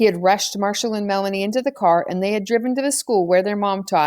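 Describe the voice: At a fast pace, a woman talks at a medium pitch with ordinary pitch variation and a slightly mellow tone.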